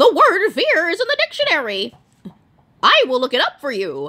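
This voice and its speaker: In a put-on character voice, a woman speaks at an extremely high pitch and a moderate pace. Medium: read story. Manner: earnest, straightforward.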